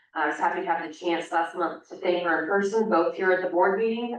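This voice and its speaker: A woman's very fast, fairly low-pitched speech with fairly even intonation and noticeable background noise. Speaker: oversight board member. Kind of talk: public meeting remarks. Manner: hesitant, many fillers.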